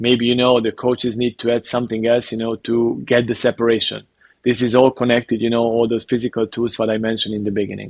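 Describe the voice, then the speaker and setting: A man with a Hungarian accent talks very fast at a medium pitch in a flat monotone, the sound dry and close with no echo. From Hungary. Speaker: basketball coach. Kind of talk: interview. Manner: halting, many fillers.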